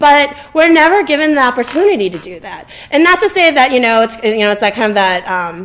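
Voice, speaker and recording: A woman talks at a fairly quick pace with hardly any pauses, her high voice making very wide pitch swings and big swings in loudness. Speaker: community member. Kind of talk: community forum discussion. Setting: public event at a library. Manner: halting.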